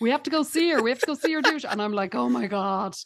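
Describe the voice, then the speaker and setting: A woman speaks with an Irish accent. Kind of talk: casual chat.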